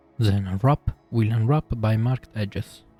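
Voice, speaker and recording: A man's medium-pitched voice with an Italian accent, ordinary pitch variation and a moderate pace, dry and close with no echo, over music in the background. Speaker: 3D artist / software tutorial maker. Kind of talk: software tutorial narration.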